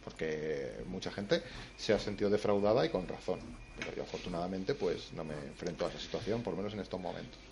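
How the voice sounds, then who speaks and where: A man with a very deep, low pitch speaks at a very fast pace with ordinary pitch variation. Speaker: podcast co-host. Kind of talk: casual chat.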